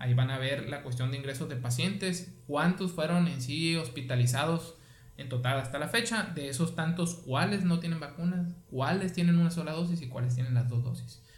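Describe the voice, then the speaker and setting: A man speaks at a moderate pace, somewhat breathy, with ordinary pitch variation. Room echo is audible. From Mexico, Sonora (Guaymas). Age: 30s. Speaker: physician. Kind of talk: casual interview.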